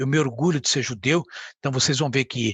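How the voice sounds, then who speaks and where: A man's fairly high voice at a fairly quick pace. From Brazil, São Paulo. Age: 60s. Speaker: community leader and ophthalmologist. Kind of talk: podcast interview.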